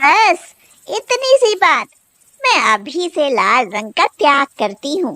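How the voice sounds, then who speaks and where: In a dry, close recording with no echo, a woman does a cartoonish character voice at a high pitch with very wide pitch swings and a fairly slow pace. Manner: sharp-tongued, indignant.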